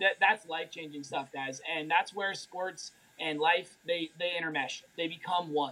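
A man with a high pitch speaks at a fairly slow pace and fairly even intonation amid noticeable background noise. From Colorado, US. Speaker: health and mindset coach. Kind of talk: live-stream interview.

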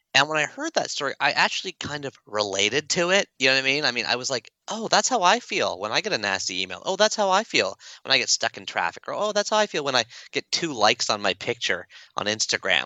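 A fairly high-pitched man with a Canadian accent, very fast, with vocal fry and very wide pitch swings. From Toronto area, Canada. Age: 40s. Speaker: author and speaker. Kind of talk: casual interview.

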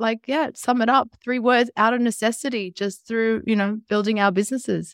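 With an Australian accent, a woman speaks in a fairly high voice with ordinary pitch variation, the sound dry and close with no echo. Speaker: entrepreneur, former teacher. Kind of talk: interview.

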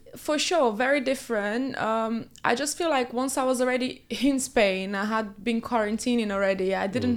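A fairly quick woman's voice in a Portuguese accent, fairly high in pitch with ordinary variation. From Brazil. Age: 20s. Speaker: reality TV contestant. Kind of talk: interview.

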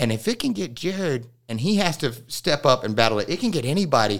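The recording is very clean, with a silent background. A man talks at a fairly quick pace, his pitch swinging very widely. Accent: American. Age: 30s. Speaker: podcast host. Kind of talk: casual chat. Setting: studio.

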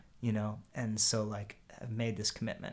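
Fairly low-pitched and with an American accent, a man talks at a fairly quick pace with fairly even intonation. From Pennsylvania, Harrisburg. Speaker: musician. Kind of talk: casual chat. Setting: in-person recording in a house. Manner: halting, repeats words.

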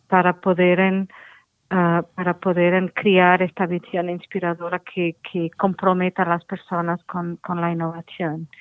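Speaking at a very slow pace, a woman with a fairly low pitch keeps a monotone, flat intonation. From Portugal. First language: Portuguese (speaking Spanish). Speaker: innovation standards expert. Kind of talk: interview. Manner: halting.

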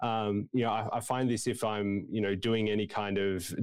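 Against a quiet background, a man with an Australian accent speaks fairly quickly in a fairly low pitch with fairly even intonation. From Tasmania, Australia (Hobart). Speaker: preaching student. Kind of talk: interview conversation. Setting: video call.

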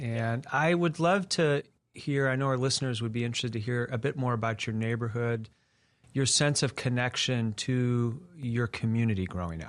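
This man has an ordinary speaking voice with a medium pitch and ordinary pitch variation, talking at a moderate pace. The recording is very clean, with a silent background. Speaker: interviewer and executive director. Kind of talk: interview conversation.

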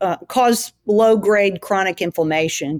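A dry, close sound with no echo and ordinary variation in pitch. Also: woman. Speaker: gut health researcher. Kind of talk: interview conversation.

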